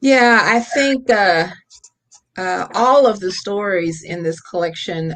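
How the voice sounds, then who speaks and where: A woman speaks with an Appalachian accent. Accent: Appalachian twang. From US South, Appalachia. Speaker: writer and teacher. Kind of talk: casual chat. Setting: video call.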